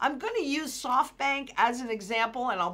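Vocal fry runs through a woman's bright, sharp, animated tone as she talks at a moderate pace. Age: 60s. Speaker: financial market analyst; financial commentator. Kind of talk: market commentary video. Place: home room.

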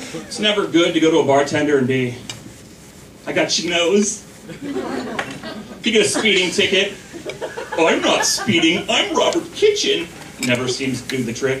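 Over noticeable background noise, a man with a high voice talks in an animated tone at a moderate pace, his pitch swinging very widely between long, frequent pauses. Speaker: stand-up comedian; stay-at-home dad. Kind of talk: stand-up comedy. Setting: stage with audience. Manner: animated, punchline-driven delivery with pauses; self-deprecating, laughing at own jokes.

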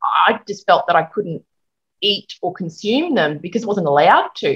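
A woman with an Australian accent talks at a moderate pace against a quiet background. Her pitch swings very widely. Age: 40s. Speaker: hairdresser and working mum; interview guest. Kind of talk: interview, casual chat. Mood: open, candid, conversational. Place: home room. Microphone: video call.

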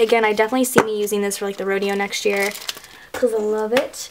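At a fairly quick pace, a woman with a fairly high pitch speaks in an enthusiastic tone over noticeable background noise. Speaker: YouTuber. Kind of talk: casual vlog haul. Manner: chatty, enthusiastic.

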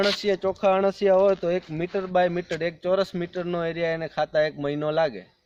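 The sound is dry and close, with no echo. Intonation stays fairly even. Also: man. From India, Kutch, Gujarat. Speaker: organic farmer. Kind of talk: interview.

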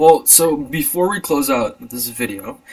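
Noticeable noise sits in the background. The man speaking has an American accent. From USA. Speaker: podcast host. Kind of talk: casual chat. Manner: animated.

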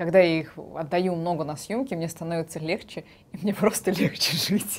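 A woman is talking. Her voice sits fairly low for a woman. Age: 20s. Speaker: actress. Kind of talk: casting video introduction. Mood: cheerful, animated. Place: studio. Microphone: lapel.

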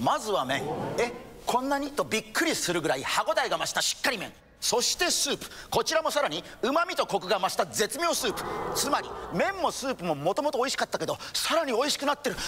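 The voice moves at a very fast pace in an energetic tone with very wide pitch swings. Noticeable background noise sits behind it. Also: man. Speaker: actor in a TV commercial. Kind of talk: TV commercial read. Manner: energetic, emphatic, expressive.

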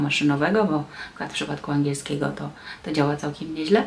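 A woman with a very deep, low pitch at a very fast pace, with light background noise. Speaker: translator and tour guide; tour guide. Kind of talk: vlog monologue. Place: home room. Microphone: phone near.

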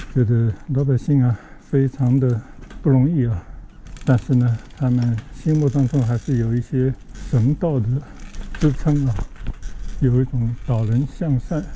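Delivered at a fairly slow pace, the voice comes over light background noise. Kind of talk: casual vlog commentary. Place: bicycle.

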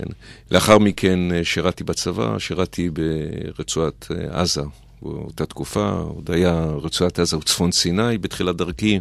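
Very deep and low, a man's voice carries vocal fry and lively intonation. He goes at a very slow pace in a dry sound with no echo. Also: quiet background. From Israel, Petah Tikva; Israel. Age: 50s. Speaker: mayor and lawyer; guest. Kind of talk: radio interview; interview answer. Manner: hesitant, many filler sounds. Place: studio. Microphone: studio mic.

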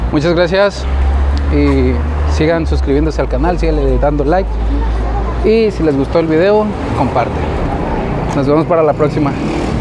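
A man speaks at a moderate pace with long, frequent pauses over noticeable background noise. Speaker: travel vlogger. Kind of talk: casual vlog chat. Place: street. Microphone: lapel.

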